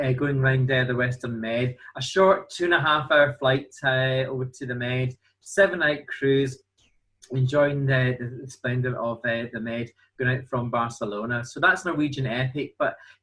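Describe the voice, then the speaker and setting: A man with a Glasgow accent, medium pitch and a moderate pace. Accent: Glasgow Scottish. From Scotland, Glasgow. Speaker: cruise line sales representative. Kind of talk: sales presentation.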